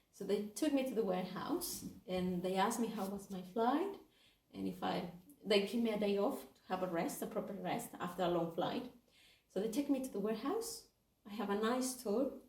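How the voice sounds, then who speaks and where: A woman with a Spanish accent, at medium pitch and a fairly quick pace, with ordinary pitch variation and audible room echo. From Mexico, Guadalajara. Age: 30s. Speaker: charity volunteer intern. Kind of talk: interview. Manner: hesitant.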